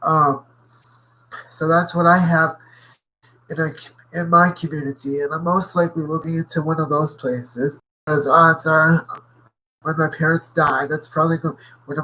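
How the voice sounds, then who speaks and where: A man's bright, sharp voice at a fairly high pitch, monotone and flat, at a moderate pace with long, frequent pauses. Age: 20s. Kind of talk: casual vlog talk. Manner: halting, frequent pauses.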